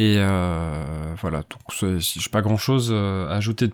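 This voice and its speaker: This man's voice sits fairly low. The sound is dry and close with no echo, and his pitch varies in an ordinary way. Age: 40s. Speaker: podcaster and doctoral student. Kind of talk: solo podcast monologue. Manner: halting.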